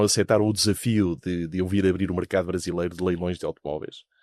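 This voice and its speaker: Very deep and low in pitch, a man with a European Portuguese accent speaks with fairly even intonation in a dry, close sound with no echo. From Portugal. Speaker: investment fund founder, businessman. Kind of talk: interview. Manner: hesitant, many fillers.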